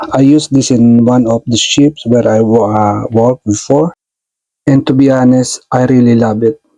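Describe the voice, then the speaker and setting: A man speaks at a medium pitch and moderate pace with a non-native accent, a dark, mellow tone, fairly even intonation and very even loudness. The sound is dry and close, with no echo. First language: not English. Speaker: tech tutorial youtuber, stage lighting technician. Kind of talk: tutorial. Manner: halting, many fillers.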